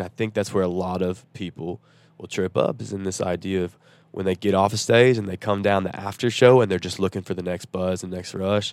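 On a very clean recording with a silent background, a man with a Southern US accent speaks very fast at a fairly low pitch with fairly even intonation. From Nashville, Tennessee. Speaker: country singer-songwriter. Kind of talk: casual interview chat. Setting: on a tour bus.

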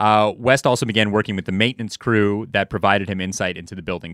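On a very clean recording with a silent background and a dry, close sound with no echo, a man in a normal speaking voice talks at a fairly quick pace, fairly low in pitch, with ordinary pitch variation. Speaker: podcast co-host. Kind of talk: casual podcast chat, storytelling.

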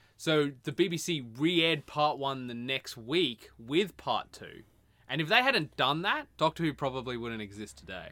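A man with a normal speaking voice and fairly high pitch talks at a moderate pace, his loudness swinging widely. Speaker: podcast co-host. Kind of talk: casual banter podcast chat. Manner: sarcastic, joking, talks over.

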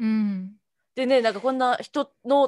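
Using an ordinary speaking voice, a woman talks at a fairly slow pace with a fairly high pitch and lively intonation. The sound is dry and close, with no echo. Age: 30s. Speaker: podcast co-host. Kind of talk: casual chat.

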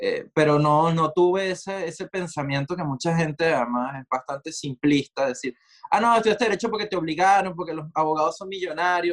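A man with a high pitch, ordinary pitch variation and hardly any pauses, dry and close with no echo. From Venezuela, Maracay. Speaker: multidisciplinary artist. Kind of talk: casual interview conversation.

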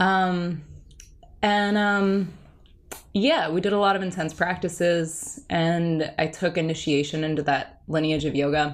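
A woman with an American accent and an ordinary speaking voice, at a fairly slow pace, with fairly even intonation and very even loudness. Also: fairly low pitch for a woman. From New Jersey. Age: 30s. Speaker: meditation teacher. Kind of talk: casual interview chat.

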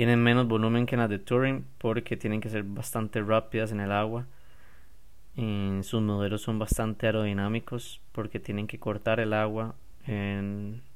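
The pace is fairly slow, with a Costa Rican accent. The intonation stays monotone and flat. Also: man, fairly low pitch for a man. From Costa Rica, San José. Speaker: podcast host and stand-up paddle surfer. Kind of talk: casual solo podcast.

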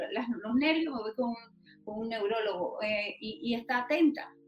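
A woman talks at a moderate pace with a fairly high pitch. Music plays in the background. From Panama, Los Santos province. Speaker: patient rights activist. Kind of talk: interview.

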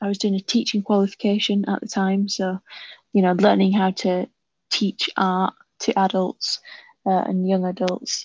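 A woman with a West Yorkshire accent, medium pitch and fairly even intonation, in a dry, close sound with no echo against a quiet background. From northern England, West Yorkshire. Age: 20s. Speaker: author and visual artist. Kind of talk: casual interview.

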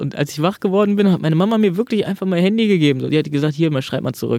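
A man with a dark, mellow tone talks at a very fast pace. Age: 20s. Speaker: stand-up comedian. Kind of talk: interview.

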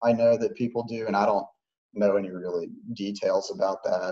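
Using a normal speaking voice, a man with an American accent talks at a fairly low pitch and moderate pace with fairly even intonation. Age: 30s. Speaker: former gamer sharing addiction story. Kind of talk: interview testimony.

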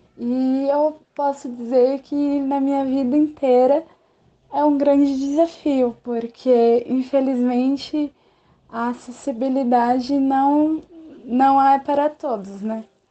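A woman's high-pitched, dark and mellow voice, monotone and flat, at a very slow pace. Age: 20s. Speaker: geography teacher. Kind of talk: testimony. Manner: halting.

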